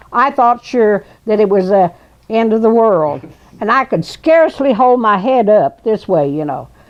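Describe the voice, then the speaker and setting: A woman with a Southern US accent, fairly high pitch and very wide pitch swings. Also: moderate pace. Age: 80s+. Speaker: storyteller. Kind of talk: storytelling interview. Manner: halting.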